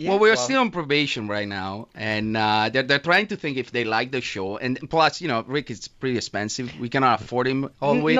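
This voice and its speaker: At a fairly quick pace, someone with an Italian accent speaks in a playful tone. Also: man. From Italy. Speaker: radio show co-host. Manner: playful, joking. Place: studio. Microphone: studio mic.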